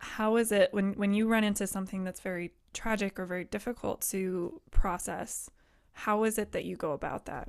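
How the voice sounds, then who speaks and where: A woman with an American accent and a plain, everyday voice speaks at a medium pitch and moderate pace with fairly even intonation, in a very clean recording with a silent background. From Colorado, Boulder. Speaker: podcast host, Navy veteran. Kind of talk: casual interview chat.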